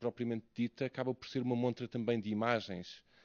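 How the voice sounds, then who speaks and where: Speaking at a medium pitch, a man talks in a European Portuguese accent. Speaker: academic researcher. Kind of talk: conference talk. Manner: slow; halting.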